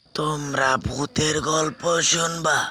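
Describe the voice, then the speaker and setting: In a cartoonish character voice, a man speaks very slowly with fairly even intonation. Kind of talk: horror storytelling.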